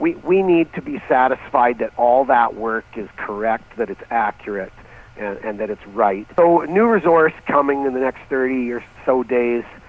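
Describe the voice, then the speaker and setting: A man speaks with lively intonation, a medium pitch and a moderate pace while noticeable background noise is heard. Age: 60s. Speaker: mining company CEO. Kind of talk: interview. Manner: halting, repeats words.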